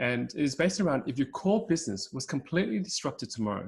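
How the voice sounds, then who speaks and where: A man speaks at a fairly quick pace with a somewhat breathy voice. The recording is very clean, with a silent background. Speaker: podcast host. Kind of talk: interview questions.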